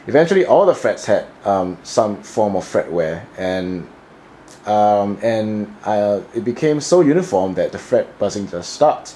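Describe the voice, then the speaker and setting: A man mumbles in a fairly low pitch. His intonation is still lively. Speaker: guitarist. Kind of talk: casual talk to camera. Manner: slurring and mumbling a bit.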